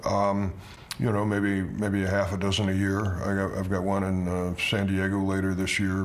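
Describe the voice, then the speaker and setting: Moderate pace and monotone, flat intonation, with audible room echo and noticeable background noise. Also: man. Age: 70s. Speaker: winemaker. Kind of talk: interview. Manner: halting, many repeated words.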